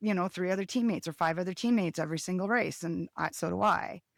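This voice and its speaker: Over a silent background in a very clean, dry and close recording with no echo, a woman talks very fast at a medium pitch with ordinary pitch variation. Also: hardly any pauses. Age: 50s. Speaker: skijoring race organizer and competitor. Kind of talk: podcast interview.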